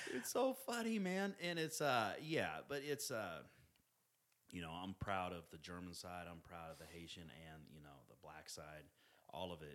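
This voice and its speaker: Here is a man with a Midwestern accent at a moderate pace. His loudness swings in big ways. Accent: General American (Midwest). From Independence, Missouri, US Midwest. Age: 40s. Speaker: personal trainer. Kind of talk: casual chat. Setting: in person, drinks. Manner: standard, non-slang speech.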